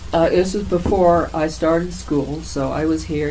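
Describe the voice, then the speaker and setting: Noticeable background noise mixes with audible echo from the room. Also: woman. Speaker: oral history interviewee. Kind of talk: oral history interview.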